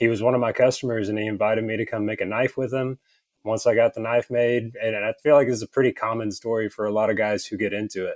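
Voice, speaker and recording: With a strong Southern US accent, a man talks very fast at medium pitch in a monotone, flat intonation, the sound dry and close with no echo. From Texas, Texarkana. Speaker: leatherworker, small business owner. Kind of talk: casual interview.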